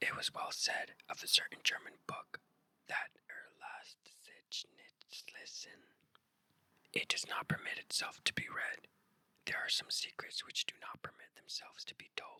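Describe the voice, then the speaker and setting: Whispering at a fairly slow pace, a woman shows big swings in loudness, and the sound is dry and close with no echo. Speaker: ASMR channel host reading aloud. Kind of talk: whispered ASMR story reading for sleep. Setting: headphone-oriented binaural recording, left and right.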